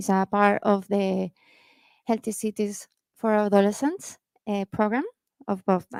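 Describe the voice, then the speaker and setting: At a moderate pace with long, frequent pauses, a woman speaks at a medium pitch with fairly even intonation in a dry, close sound with no echo. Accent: Colombian. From Colombia, Cali. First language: Spanish. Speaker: youth program gender advisor. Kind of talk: panel talk. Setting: stage with audience. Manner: halting.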